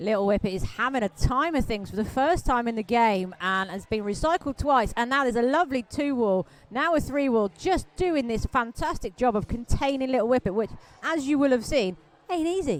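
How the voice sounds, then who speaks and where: A woman with a Welsh accent, high-pitched, animated in tone, with lively intonation at a fairly quick pace. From Wales. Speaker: roller derby commentator. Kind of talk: live commentary.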